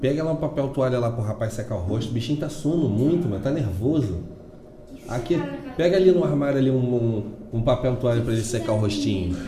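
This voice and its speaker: A man's medium-pitched voice with lively intonation at a fairly quick pace, audible room echo and noticeable background noise. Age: 40s. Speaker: podcast host. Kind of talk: casual chat.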